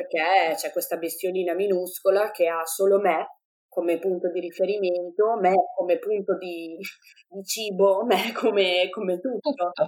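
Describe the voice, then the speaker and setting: In an ordinary speaking voice, a woman talks at a medium pitch and a fairly slow pace with fairly even intonation. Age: 20s. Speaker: mother sharing birth story. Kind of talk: testimony.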